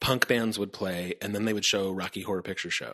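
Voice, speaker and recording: Bright, sharp male tones with an American accent. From US Midwest, Indiana. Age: 50s. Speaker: comedian. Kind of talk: casual chat. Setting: host's basement.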